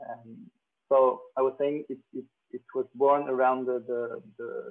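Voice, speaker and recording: Speaking at a fairly slow pace, a man talks in a French accent. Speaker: agronomist. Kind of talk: conference presentation. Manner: halting, many fillers.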